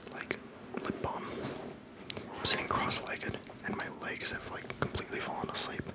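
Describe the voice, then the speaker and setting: The speaker whispers, with long, frequent pauses. Noticeable background noise can be heard. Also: moderate pace. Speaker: ASMR creator. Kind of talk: casual ASMR talk to camera. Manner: soft-spoken.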